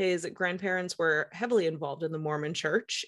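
A woman with an ordinary speaking voice and a fairly low pitch talks against a quiet background. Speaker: podcast host. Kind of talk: casual chat.

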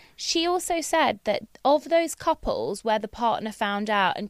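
Recorded very cleanly against a silent background, a woman speaks with a British accent. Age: 30s. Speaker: dentist and recurring podcast guest. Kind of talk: casual chat.

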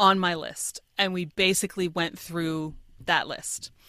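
With an American accent, a woman sounds enthusiastic, her tone bright and sharp, on a very clean recording with a silent background. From Pennsylvania, York. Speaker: writer and creativity coach. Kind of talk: casual interview chat. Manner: articulate, enthusiastic.

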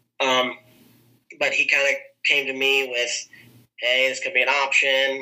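Fairly slow speech from a man with an American accent, broken by long, frequent pauses. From southern Iowa. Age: 30s. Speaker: wrestling coach and teacher. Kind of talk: casual interview chat.

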